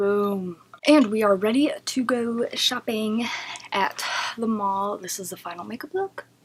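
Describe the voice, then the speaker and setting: A soft-spoken woman at a fairly high pitch, fairly slow pace, ordinary pitch variation and big swings in loudness, against noticeable background noise. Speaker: beauty vlogger. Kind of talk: casual chat. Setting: at home.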